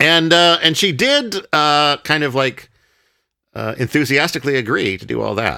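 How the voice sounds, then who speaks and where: With a plain, everyday voice, a man speaks at a moderate pace and fairly high pitch, his intonation lively and his loudness swinging widely. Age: 40s. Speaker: podcast host. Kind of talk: casual chat.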